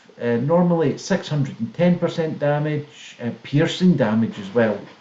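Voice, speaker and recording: Lively intonation marks this man's fairly high-pitched voice at a moderate pace, with noticeable background noise. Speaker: gaming channel co-host and comedian. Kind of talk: casual chat with game tutorial.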